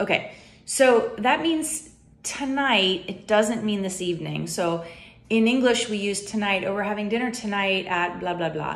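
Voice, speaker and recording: Lively intonation marks this woman's American accent. She speaks at a moderate pace. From United States. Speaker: YouTuber. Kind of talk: casual vlog talk. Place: home room. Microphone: phone near.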